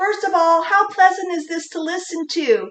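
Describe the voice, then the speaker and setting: Using a put-on, squeaky character voice at an extremely high pitch, a woman talks at a moderate pace with fairly even intonation. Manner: unpleasant, strained.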